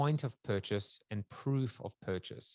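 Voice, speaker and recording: An ordinary speaking voice talks at a fairly slow pace with ordinary pitch variation. The recording is very clean with a silent background, dry and close with no echo. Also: man. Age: 50s. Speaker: futurist, author and talk show host. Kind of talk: interview.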